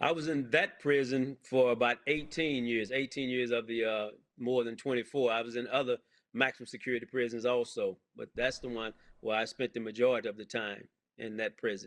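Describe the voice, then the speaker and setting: In a normal speaking voice, the speaker goes at a fairly quick pace with fairly even intonation. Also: man, medium pitch for a man. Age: 60s. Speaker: pastor and exoneree. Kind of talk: interview.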